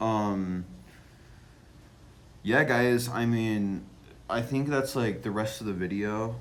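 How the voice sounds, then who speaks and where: Audible room echo surrounds a man who speaks at a very slow pace with long, frequent pauses and fairly even intonation. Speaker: vlogger. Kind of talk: casual vlog monologue. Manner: halting, many fillers; slow, delayed.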